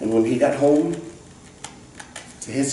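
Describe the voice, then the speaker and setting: Through audible room echo and noticeable background noise, a man speaks at medium pitch. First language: non-English. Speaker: children's book author and illustrator. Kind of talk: talk to audience; reading aloud. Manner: halting.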